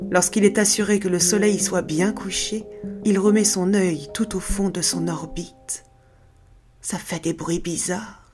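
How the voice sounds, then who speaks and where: A woman at a medium pitch, very slow pace and fairly even intonation, with music in the background. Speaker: voice actress and storyteller. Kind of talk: scary folk tale narration.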